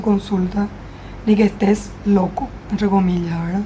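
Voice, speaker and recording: A woman's fairly high voice moves at a fairly slow pace while noticeable background noise carries on behind her. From Paraguay. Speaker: clinical psychologist. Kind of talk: interview, explanatory. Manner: formal.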